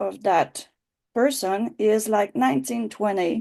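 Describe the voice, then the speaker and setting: With lively intonation, a woman talks at a fairly slow pace in a fairly high voice. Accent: Quebec. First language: French. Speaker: writing teacher. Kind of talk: online class. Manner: halting.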